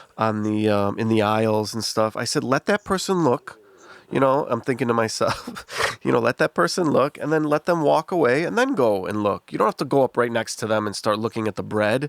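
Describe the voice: Speaking with an American accent, a man uses a medium pitch and vocal fry. His pace is fairly quick and his intonation lively.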